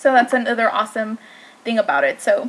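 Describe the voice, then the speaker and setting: A woman speaks at a moderate pace in a high voice. Noticeable background noise is present. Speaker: beauty vlogger. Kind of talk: product review. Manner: hesitant, filler-heavy; slight slurring.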